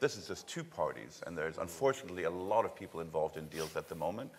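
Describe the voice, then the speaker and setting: With a German accent, a man talks at a very fast pace with very wide pitch swings. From Germany. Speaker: logistics real estate executive. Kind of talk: conference panel discussion. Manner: halting, many fillers.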